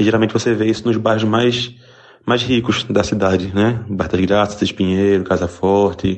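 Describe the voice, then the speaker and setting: A man with a fairly low pitch and monotone, flat intonation. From interior of Pernambuco, Brazil. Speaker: listener sending audio message. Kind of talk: voice message.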